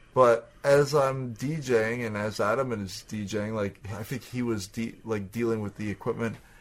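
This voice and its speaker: Here a man talks with a Canadian accent. His pace is fairly slow. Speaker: podcast co-host, DJ. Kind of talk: casual chat. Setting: home recording, shared headphones.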